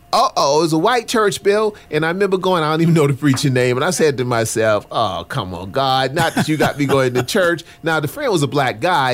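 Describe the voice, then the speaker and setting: A man's fairly high voice at a fairly quick pace, with very wide pitch swings and music in the background. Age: 60s. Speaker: pastor. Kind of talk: casual chat.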